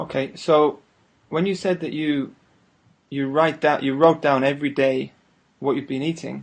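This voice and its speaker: Over a quiet background, a man with a Northern English accent and a fairly high pitch speaks at a moderate pace in monotone, flat intonation, with long, frequent pauses. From northern England. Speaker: interviewer. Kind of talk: casual interview.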